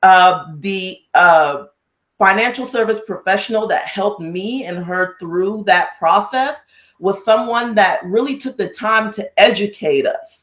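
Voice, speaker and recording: A woman's medium-pitched voice with lively intonation at a fairly slow pace. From US, moved from Cameroon at about eight. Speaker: pharmacist and financial services agent. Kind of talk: interview.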